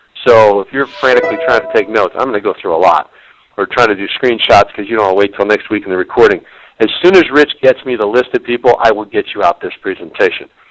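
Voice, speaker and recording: Speaking at a very fast pace, a man with a medium pitch and lively intonation is recorded with a dry, close sound and no echo. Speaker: business consultant and webinar presenter. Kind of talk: webinar presentation. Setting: online webinar.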